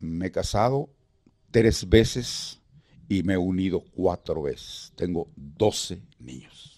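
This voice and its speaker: At a very slow pace, a man with a very deep, low pitch speaks with lively intonation and big swings in loudness. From Guatemala (Guatemala City). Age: 70s. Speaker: veteran radio announcer and actor. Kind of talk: interview reminiscence. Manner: halting.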